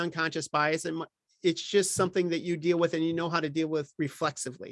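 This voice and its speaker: His voice is high-pitched for a man. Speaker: workshop presenter on ethics and equity. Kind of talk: lecture. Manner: fast.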